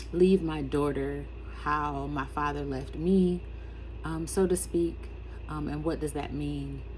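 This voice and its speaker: A woman with a very deep, low pitch speaks at a very slow pace, with audible room echo. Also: fairly even intonation. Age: 50s. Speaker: writer and education consultant. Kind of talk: personal vlog monologue. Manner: halting, many fillers.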